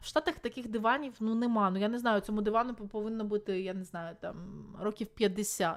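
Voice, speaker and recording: A woman's animated voice, fairly high-pitched, at a fairly quick pace, with big swings in loudness and ordinary pitch variation. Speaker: video blogger and streamer. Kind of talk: live stream chat. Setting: live stream with video-call guests.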